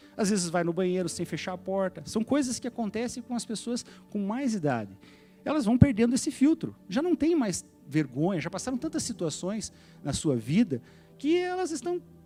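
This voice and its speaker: There is music in the background as a man talks at a moderate pace. His high pitch moves in very wide swings. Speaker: pastor. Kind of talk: sermon.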